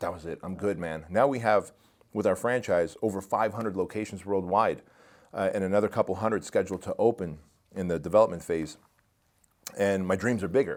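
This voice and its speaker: Speaking at a fairly quick pace, a man uses a plain, everyday voice with fairly low pitch and ordinary pitch variation. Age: 40s. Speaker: entrepreneur and performance coach. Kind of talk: podcast interview.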